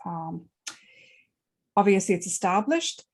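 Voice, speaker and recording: Somewhat breathy, a woman speaks at a medium pitch with an Irish accent. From Ireland. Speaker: book club host. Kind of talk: interview.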